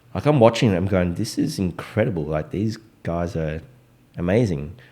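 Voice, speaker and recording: A man's very deep, low voice with a dark, mellow tone and an Australian accent, moderate in pace, lively in intonation, on a very clean recording with a silent background. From Australia, Melbourne (Richmond), Vietnamese Australian. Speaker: DJ. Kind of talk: casual chat.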